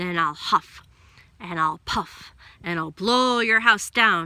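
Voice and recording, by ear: A woman puts on a growling character voice at a medium pitch. She talks at a fairly slow pace.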